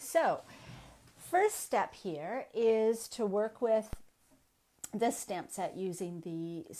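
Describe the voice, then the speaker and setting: A woman's dark, mellow voice with lively intonation. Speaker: craft demonstrator. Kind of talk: tutorial. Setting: live stream at home desk. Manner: voice tends to soften while working; casual with frequent fillers.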